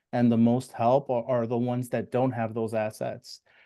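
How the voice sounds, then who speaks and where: Dark, mellow tone and monotone, flat intonation from a man at a medium pitch, against a quiet background. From US, Spanish-speaking immigrant family. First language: Spanish. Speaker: financial advisor. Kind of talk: live stream interview. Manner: halting, many fillers.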